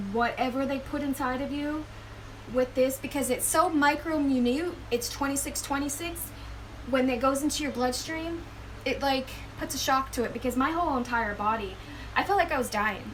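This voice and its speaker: Audible room echo and noticeable background noise sit around speech with ordinary pitch variation. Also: woman, high pitch for a woman, moderate pace. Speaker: spiritual vlogger. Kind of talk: personal testimony. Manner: halting.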